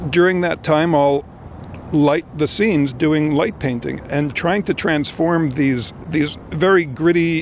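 A man speaks at a fairly slow pace with ordinary pitch variation. Light background noise can be heard. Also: dry sound with no echo. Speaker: interviewee. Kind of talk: interview answer. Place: street. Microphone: handheld.

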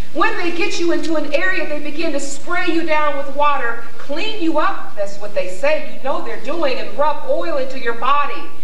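A high-pitched woman with an American accent, moderate pace and lively intonation, with audible room echo and light background noise. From US Midwest, Columbus, Ohio. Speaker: poet and playwright. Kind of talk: dramatic second-person narration immersing the audience in enslavement. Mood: grave, emotional narration. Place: stage.

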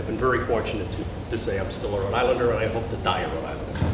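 A man talks at a very fast pace. Noticeable background noise and audible room echo surround him. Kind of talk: lecture. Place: hall.

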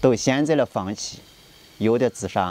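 This man talks at a fairly slow pace in a medium pitch. His tone is dark and mellow, and his intonation is lively. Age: 40s. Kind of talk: personal appeal to camera.

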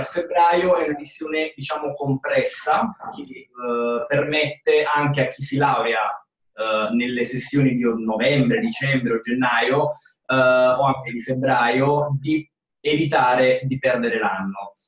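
At a very slow pace, a man with a fairly high pitch shows ordinary pitch variation and big swings in loudness, with audible room echo over a quiet background. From Italy. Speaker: university admissions advisor, moderator; moderator. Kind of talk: webinar moderator. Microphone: video call.

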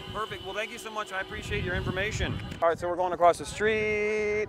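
A man at a very fast pace with fairly even intonation, dry sound with no echo, and music in the background. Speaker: citizen journalist. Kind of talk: street interviews. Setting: outdoors at a protest. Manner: casual, hesitant with many fillers. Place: street. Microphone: phone near.

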